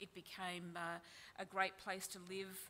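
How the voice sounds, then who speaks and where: Over light background noise, a woman with an Australian accent talks at a moderate pace in a bright, sharp tone with monotone, flat intonation. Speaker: journalist. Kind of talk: panel presentation; panel discussion. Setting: stage with audience. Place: hall. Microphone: podium.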